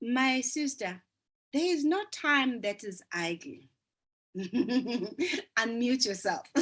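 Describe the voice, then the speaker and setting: A woman with a South African accent speaks at a very slow pace. Her high pitch moves in very wide swings. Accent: South African (Zulu) English. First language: isiZulu. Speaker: business coach. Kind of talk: group coaching session.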